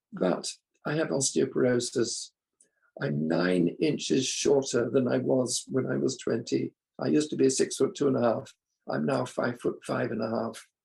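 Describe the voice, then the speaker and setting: Speaking at a moderate pace, a man talks in a British accent. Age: 80s+. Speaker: recovery group member sharing. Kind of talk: testimony. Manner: halting.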